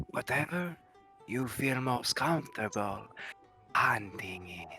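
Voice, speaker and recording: A man speaks at a medium pitch in a put-on character voice, with faint music in the background. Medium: actual play. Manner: formal, measured.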